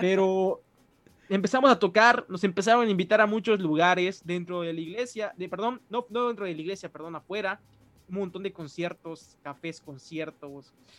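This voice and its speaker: Loudness rises and falls sharply while the pace stays moderate and the pitch varies in an ordinary way. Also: man, high pitch for a man. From Mexico, Mérida, Yucatán. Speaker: musician and pastor. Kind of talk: casual interview.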